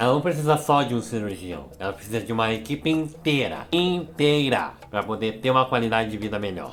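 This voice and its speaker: A man with a normal speaking voice at medium pitch talks at a fairly quick pace, with lively intonation and hardly any pauses. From Brazil. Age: 20s. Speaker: youtuber. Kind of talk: educational vlog.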